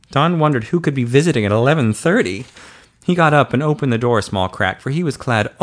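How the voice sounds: Natural voice for reading.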